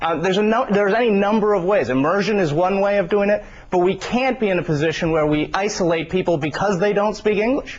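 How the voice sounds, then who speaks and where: A man speaking very fast in a high voice, with hardly any pauses, very even loudness, ordinary pitch variation and noticeable background noise. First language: Spanish. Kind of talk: TV news debate. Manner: halting, repeats words.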